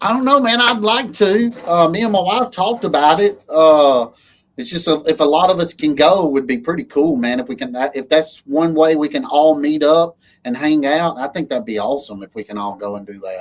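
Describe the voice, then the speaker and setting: This man speaks with an Alabama accent at a fairly quick pace, his pitch fairly high. His pitch swings very widely and his loudness rises and falls a lot. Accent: Alabama twang. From Alabama, US South. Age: 40s. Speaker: lawn care business owner, livestream host. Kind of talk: casual chat. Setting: livestream.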